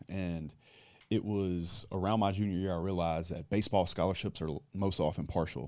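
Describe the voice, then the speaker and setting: Against a silent background in a very clean recording, a man with a Louisiana accent speaks at a fairly quick pace in a very deep, low pitch, his intonation fairly even. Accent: southern US (Louisiana). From US South, south Louisiana. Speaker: businessman and online content creator. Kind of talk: casual interview chat.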